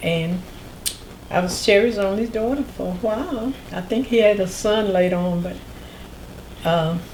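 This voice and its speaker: Amid noticeable background noise and audible room echo, a woman speaks at a moderate pace with long, frequent pauses. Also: medium pitch for a woman, ordinary pitch variation. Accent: North Carolina. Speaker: oral history interviewee. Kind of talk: interview.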